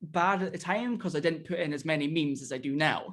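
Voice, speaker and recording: A man speaks with a Scottish accent. His pitch is fairly high. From Scotland. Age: young. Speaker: indie wrestler and YouTuber. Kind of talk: casual chat.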